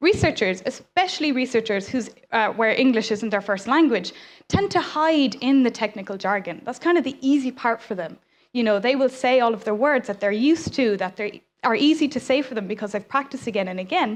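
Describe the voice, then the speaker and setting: Against a quiet background, a woman with an Irish accent talks at a fairly quick pace, her high pitch carried by lively intonation. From Ireland. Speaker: science communicator. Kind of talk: conference talk. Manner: fast.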